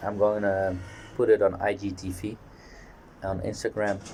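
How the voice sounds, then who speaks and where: A man's fairly low, somewhat breathy voice with a dark, mellow tone, a fairly slow pace and monotone, flat intonation. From Netherlands. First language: Dutch. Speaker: fitness vlogger. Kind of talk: casual monologue vlog. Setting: outdoors on a balcony.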